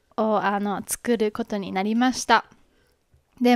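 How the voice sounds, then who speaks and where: The recording is dry with no echo and a quiet background. A woman speaks at a fairly high pitch with ordinary pitch variation. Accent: Kansai. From Japan, Kobe (Hyogo); Japan. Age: 20s. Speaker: podcast host. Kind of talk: casual introduction monologue. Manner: halting, many fillers. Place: home room. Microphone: handheld.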